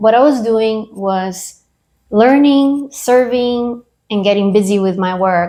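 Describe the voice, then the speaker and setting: Very slowly, a woman with a Latin American accent speaks in a dark, mellow tone with ordinary pitch variation. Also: fairly high pitch for a woman. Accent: Latin American accent, still noticeable. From Brazil. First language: Portuguese or Spanish. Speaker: military veteran. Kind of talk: interview.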